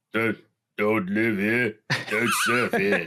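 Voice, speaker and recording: A man's nasal, put-on character voice in an Australian accent, medium in pitch. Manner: unpleasant, dislikable.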